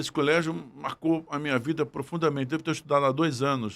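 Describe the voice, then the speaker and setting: Recorded very cleanly against a silent background, a man talks at a moderate pace in a fairly high pitch. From Brazil, Niterói (Rio de Janeiro state). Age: 60s. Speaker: federal judge and law professor. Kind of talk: podcast interview, life story. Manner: reflective, with hesitations.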